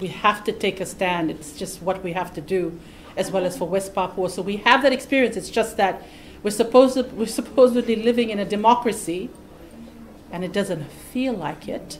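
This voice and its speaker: A woman with a medium pitch and ordinary pitch variation speaks at a moderate pace over light background noise. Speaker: activist coordinator. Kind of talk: rally speech. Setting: outdoor vigil and rally. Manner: earnest, urgent. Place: office. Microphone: handheld.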